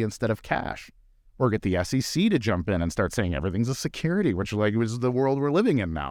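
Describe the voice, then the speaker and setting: In a very clean recording with a silent background and a dry, close sound with no echo, a man with a plain, everyday voice talks at a fairly quick pace and medium pitch. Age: 30s. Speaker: bitcoin mining executive and commentator. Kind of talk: casual chat. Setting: studio.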